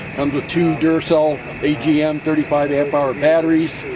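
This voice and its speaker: Noticeable background noise sits behind a man's voice. He has a fairly high pitch and a moderate pace. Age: 70s. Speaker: ham radio operator exhibitor. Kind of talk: casual equipment show-and-tell.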